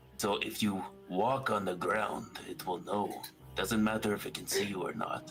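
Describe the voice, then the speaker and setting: A man performs a put-on character voice at a fairly low pitch and a moderate pace. Clear music plays in the background. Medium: actual play.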